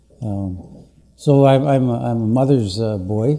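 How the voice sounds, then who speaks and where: Audible room echo surrounds a man with a Canadian accent whose fairly low voice shows ordinary pitch variation. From northwestern Ontario, Canada. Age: 60s. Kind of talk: public address. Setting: conference meeting with audience. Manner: halting, many fillers.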